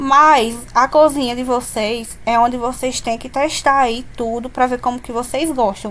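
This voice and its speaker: Her pitch is high and her intonation fairly even. This woman talks fairly slowly, with hardly any pauses. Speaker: cake decorator. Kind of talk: tutorial.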